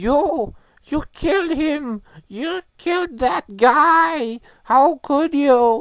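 The voice has a high pitch. It moves at a very slow pace. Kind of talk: comic overacting. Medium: comedy sketch. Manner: outraged, accusing.

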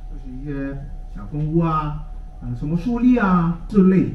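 A man speaks with ordinary pitch variation. There is audible room echo. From Hong Kong. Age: 60s. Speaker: technology teacher. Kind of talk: conference talk. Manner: hesitant with fillers. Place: hall.

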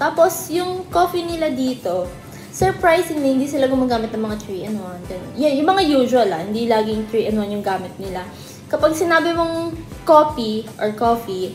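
A woman's high-pitched voice at a moderate pace, with audible room echo and music in the background. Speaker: vlogger. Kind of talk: casual vlog chat. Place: home room. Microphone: phone near.

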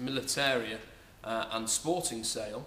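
Noticeable background noise sits behind the recording. A man talks with ordinary pitch variation. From North Yorkshire. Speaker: auctioneer. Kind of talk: casual promotional talk to camera. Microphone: camera far.

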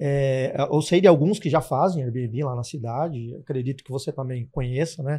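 A man's dark, mellow, somewhat breathy voice on a very clean recording with a silent background. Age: 40s. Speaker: guest questioner, rental business partner. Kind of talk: casual interview.

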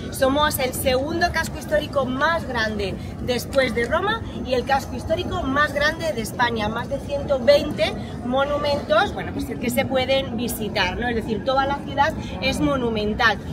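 Clear background music behind a woman's fairly slow delivery. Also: ordinary pitch variation. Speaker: tour guide. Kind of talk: guided tour explanation. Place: street.

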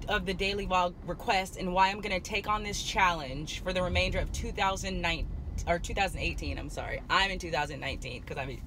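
A woman speaks over light background noise. The sound is dry, with no echo. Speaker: vlogger. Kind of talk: casual vlog chat. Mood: excited, upbeat. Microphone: phone near.

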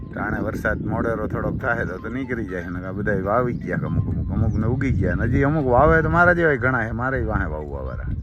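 A man's voice with very wide pitch swings, audible room echo and noticeable background noise. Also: medium pitch for a man. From Gujarat, Barda region (Saurashtra). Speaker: farmer. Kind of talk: casual chat.

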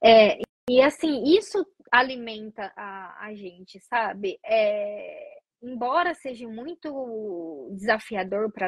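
The background is quiet, and the sound is dry with no echo. A woman speaks at a fairly high pitch. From Brazil. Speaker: nurse; interview guest. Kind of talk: interview. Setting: online video call. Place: home room. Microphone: video call.

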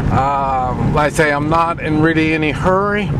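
The speech comes at a very slow pace, with a dry sound that has no echo and noticeable background noise. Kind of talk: casual vlog chat. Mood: relaxed, wry, hesitant. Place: car. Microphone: phone near.

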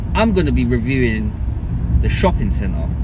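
A man speaks with a dry sound and no echo. Loud background noise runs behind him. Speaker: vlogger. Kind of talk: casual vlog chat.

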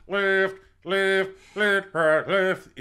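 A put-on character voice delivered at a middle pitch. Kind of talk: interview answer. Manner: barking, rhythmic cadence.

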